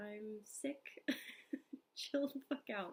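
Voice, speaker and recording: Fairly slow, somewhat breathy speech from a woman. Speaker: lifestyle vlogger. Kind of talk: casual vlog narration.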